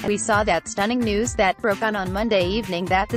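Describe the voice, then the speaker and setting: A fairly high-pitched woman at a fairly quick pace, with music in the background. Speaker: news anchor. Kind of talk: TV news anchor broadcast.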